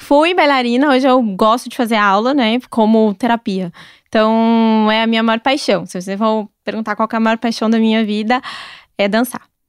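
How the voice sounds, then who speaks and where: On a very clean recording with a silent background and a dry, close sound with no echo, a woman with an ordinary speaking voice and fairly high pitch talks at a moderate pace with fairly even intonation. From southern Brazil, Curitiba. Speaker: chef and gastronomy content creator. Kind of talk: casual interview chat.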